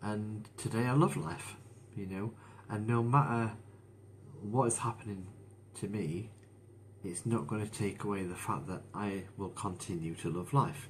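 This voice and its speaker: A man at a fairly low pitch, somewhat breathy, at a fairly slow pace with lively intonation and audible room echo. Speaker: motivational speaker sharing his mental health story. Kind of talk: live stream monologue. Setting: Facebook live stream. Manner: slow, deliberate.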